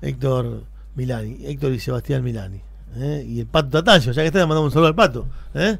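The speech comes at a very fast pace, with a dry sound and no echo. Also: man. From Argentina (Santa Fe province). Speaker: local radio news host. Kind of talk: morning radio news show. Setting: radio studio. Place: studio. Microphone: studio mic.

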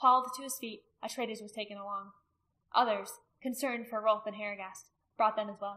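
A quiet background with plain reading aloud.

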